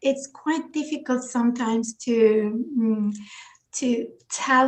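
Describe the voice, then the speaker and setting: A woman with a Turkish accent, fairly high-pitched, at a very slow pace. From Turkey, small village. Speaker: children's book author. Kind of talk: interview. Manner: halting, many fillers.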